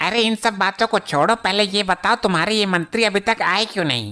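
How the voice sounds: Using a cartoonish character voice, a woman speaks at a fairly quick pace and a medium pitch.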